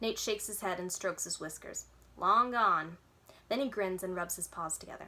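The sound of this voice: This is an unforced reading voice. It reads without strain.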